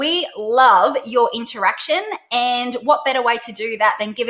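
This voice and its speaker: With an Australian accent, the speaker uses an animated, bright, sharp tone at a moderate pace. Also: woman. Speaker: webinar host, direct sales trainer. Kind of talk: webinar presentation. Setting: live online webinar.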